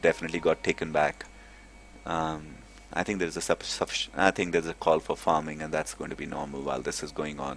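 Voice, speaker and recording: This man has a very deep, low pitch. He talks at a fairly quick pace. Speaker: esports commentator. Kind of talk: live commentary. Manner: fast; animated.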